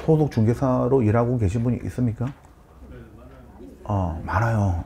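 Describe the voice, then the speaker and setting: Lively intonation carries speech that proceeds at a moderate pace. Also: man. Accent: strong Gyeongsang. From Busan, Yeongnam (southeastern Korea). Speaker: real estate consultant and lecturer. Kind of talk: lecture.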